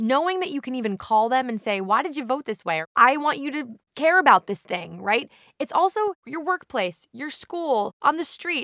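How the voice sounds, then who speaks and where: A woman speaks very fast in a raised, projected voice, animated and bright with a sharp tone. Her pitch swings very widely, in a dry, close sound with no echo. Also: very clean recording, silent background. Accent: American. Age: 30s. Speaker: state senator. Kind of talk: interview.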